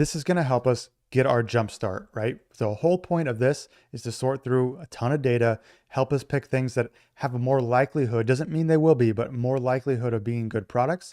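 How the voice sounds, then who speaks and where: Recorded dry with no echo over a quiet background, a man with a medium pitch and a dark, mellow tone speaks at a fairly quick pace with ordinary pitch variation. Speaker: online business tutorial creator. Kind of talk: tutorial. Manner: fast; casual.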